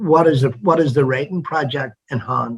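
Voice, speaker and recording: A man speaks at a moderate pace with a somewhat breathy voice and fairly even intonation. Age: 70s. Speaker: interviewer. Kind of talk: interview conversation.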